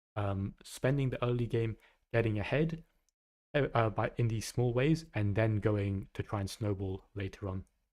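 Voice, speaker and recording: A man speaks with an English accent and ordinary pitch variation. The recording is very clean, with a silent background. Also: medium pitch for a man, moderate pace. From England. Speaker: gaming streamer and coach. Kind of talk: live stream coaching chat. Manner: halting, many fillers and repeats.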